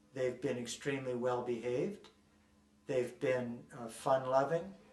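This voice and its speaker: A man speaks at a fairly slow pace, with medium pitch and fairly even intonation. Audible room echo and noticeable background noise surround his voice. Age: 60s. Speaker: ex-member activist interviewee. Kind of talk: documentary interview. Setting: on location in Dublin. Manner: halting, with repeated words and fillers.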